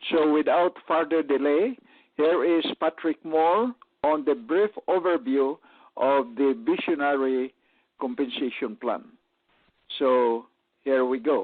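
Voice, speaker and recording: Speaking at a very slow pace with long, frequent pauses, this man has a fairly high pitch, very even loudness and lively intonation. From Philippines. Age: old. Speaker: retired physician and network marketer. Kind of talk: business presentation on radio.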